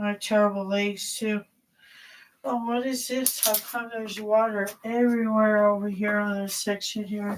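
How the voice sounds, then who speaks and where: A woman speaks at a moderate pace. Her voice sits at a fairly high pitch with monotone, flat intonation. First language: not English. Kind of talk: casual livestream talk. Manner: hesitant, rambling.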